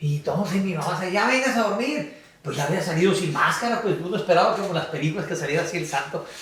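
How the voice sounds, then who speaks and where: A man with a high voice talks at a very fast pace amid audible room echo and noticeable background noise. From Mexicali, Baja California, Mexico. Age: 60s. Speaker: sports official and teacher. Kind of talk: podcast interview. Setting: café. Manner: hesitant, many fillers.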